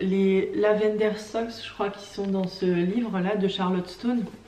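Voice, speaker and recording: Speaking at a very slow pace, a woman of medium pitch keeps a monotone, flat intonation over noticeable background noise. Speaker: craft vlogger. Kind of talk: casual vlog talk. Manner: hesitant, many fillers.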